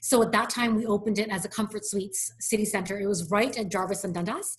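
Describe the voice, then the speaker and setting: A woman speaks at a very fast pace with a medium pitch and fairly even intonation. Noticeable background noise runs underneath. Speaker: hotel company executive. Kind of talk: interview.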